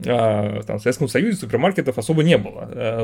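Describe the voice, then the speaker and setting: Lively intonation from a man. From Russia. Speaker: podcast host, former software team lead. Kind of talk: casual chat.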